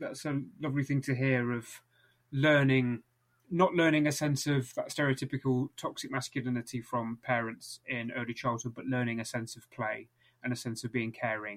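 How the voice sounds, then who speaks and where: A man's ordinary speaking voice at a moderate pace, with fairly even intonation. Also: medium pitch for a man. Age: 20s. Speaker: podcast host, writer and teacher. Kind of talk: interview conversation.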